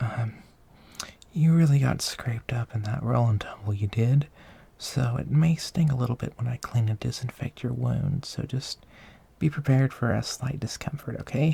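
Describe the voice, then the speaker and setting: Somewhat breathy and gentle in tone, a man talks at a medium pitch. His voice has a dark, mellow tone and ordinary pitch variation. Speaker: ASMR creator / roleplay performer. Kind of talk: ASMR roleplay, caring caretaker talking to the listener. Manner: soft-spoken, slow, gentle.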